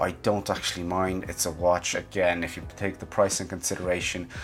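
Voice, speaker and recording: Music in the background behind a man's very deep, low voice at a moderate pace. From Romania. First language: Romanian. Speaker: watch reviewer. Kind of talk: casual product review. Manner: hesitant, many fillers.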